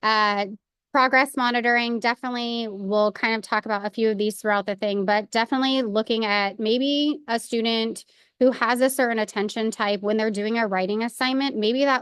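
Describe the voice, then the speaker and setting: Fairly even intonation, dry and close with no echo, over a quiet background. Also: woman. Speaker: school support staff presenter. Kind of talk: professional development presentation. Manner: fast.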